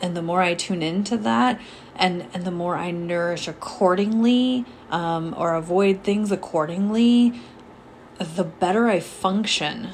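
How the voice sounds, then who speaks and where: Noticeable background noise sits behind a woman talking at a fairly slow pace. Her pitch is medium, with ordinary variation. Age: 40s. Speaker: podcast host and life coach. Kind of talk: solo podcast talk, coaching-style. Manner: hesitant, many fillers.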